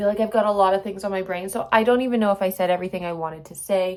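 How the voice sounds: A woman's medium-pitched voice with little pitch movement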